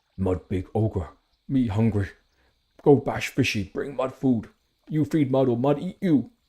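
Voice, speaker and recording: A man uses a put-on character voice with a medium pitch. He moves at a moderate pace with long, frequent pauses in a very clean recording with a silent background. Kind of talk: broken simple speech. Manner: crude, threatening.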